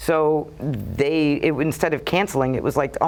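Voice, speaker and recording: Speaking in a strong Brooklyn accent, a woman uses a very deep, low pitch and fairly even intonation. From Brooklyn, New York. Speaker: TV talk show host. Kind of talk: casual interview chat. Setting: TV studio.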